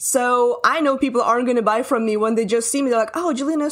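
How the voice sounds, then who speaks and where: Very fast, high-pitched female speech in a Russian accent with ordinary pitch variation. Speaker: marketing coach. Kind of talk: casual interview chat.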